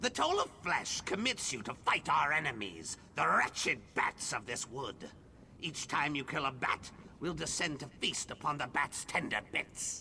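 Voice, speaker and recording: A man's put-on character voice, fairly high in pitch, over clear background noise. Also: moderate pace. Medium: video game. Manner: imperious, squawking.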